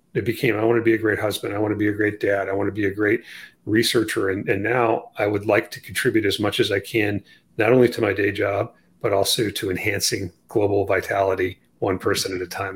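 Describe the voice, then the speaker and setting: A somewhat breathy man talks at a fairly quick pace, his pitch fairly low. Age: 50s. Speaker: orthopedic surgeon and author. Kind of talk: interview.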